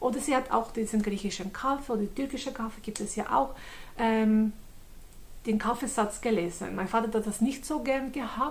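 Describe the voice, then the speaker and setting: A woman with a Swiss German accent speaks in a fairly high, somewhat breathy voice with ordinary pitch variation. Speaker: convert giving testimony. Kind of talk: testimony. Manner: halting, many fillers.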